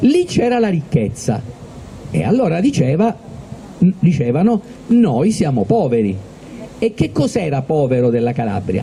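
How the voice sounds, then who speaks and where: A man's fairly high-pitched voice at a fairly slow pace, with very wide pitch swings, very even loudness, long, frequent pauses and noticeable background noise. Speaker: event host. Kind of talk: public talk to a live audience.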